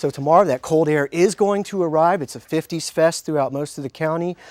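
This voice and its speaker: This man has an unremarkable speaking voice, fairly high in pitch, with ordinary pitch variation, a fairly quick pace and a dry, close sound with no echo. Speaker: TV meteorologist. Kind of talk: local TV weather forecast segment. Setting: TV news studio.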